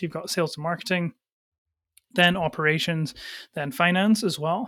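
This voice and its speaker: With a Scottish accent, a man speaks at a moderate pace in a high pitch with fairly even intonation, on a very clean recording with a silent background. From Scotland. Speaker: agency founder and CEO. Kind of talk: interview.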